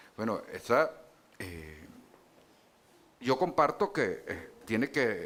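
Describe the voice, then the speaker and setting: A man speaking at a very slow pace. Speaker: politician. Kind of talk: panel debate. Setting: stage with audience. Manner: hesitant, many fillers.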